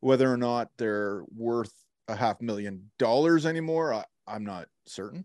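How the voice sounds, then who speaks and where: Against a quiet background with a dry, close sound with no echo, a man in an ordinary speaking voice talks at a fairly slow pace with medium pitch and lively intonation. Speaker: podcast co-host. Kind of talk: casual chat. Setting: video call.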